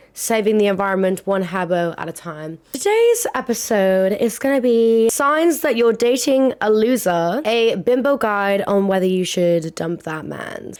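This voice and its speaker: A woman with a British accent speaks at a fairly slow pace and a fairly high pitch, with lively intonation and hardly any pauses. The recording is very clean with a silent background. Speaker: podcast host. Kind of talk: casual chat. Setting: home recording at a desk. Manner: animated; loud.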